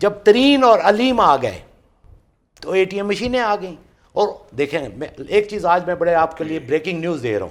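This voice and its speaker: A man's high-pitched voice with lively intonation. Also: big swings in loudness. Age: 60s. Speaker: political party worker. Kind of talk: TV political talk show debate. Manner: animated.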